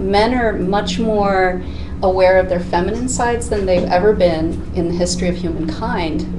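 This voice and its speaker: A woman speaks at a moderate pace. Noticeable noise sits in the background. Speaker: life coach guest. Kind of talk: interview answer. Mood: warm, earnest. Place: studio.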